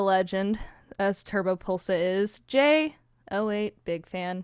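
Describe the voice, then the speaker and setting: A woman speaks at a medium pitch with ordinary pitch variation, an ordinary speaking voice. The sound is dry and close with no echo, on a very clean recording with a silent background. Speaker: podcast host. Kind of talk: casual chat.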